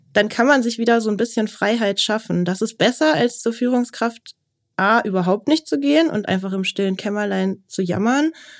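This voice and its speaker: With lively intonation and a fairly high pitch, a woman talks in an ordinary speaking voice at a moderate pace. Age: 30s. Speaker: business journalist. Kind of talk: interview.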